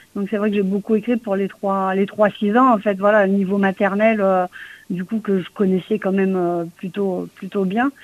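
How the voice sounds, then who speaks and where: A woman has an unremarkable speaking voice. She talks at a medium pitch and a moderate pace. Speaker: comic book writer, former schoolteacher. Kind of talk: interview.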